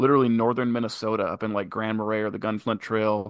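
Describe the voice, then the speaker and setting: Here a man is talking. His pace is very fast. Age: 30s. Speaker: business partner and manager. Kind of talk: casual interview.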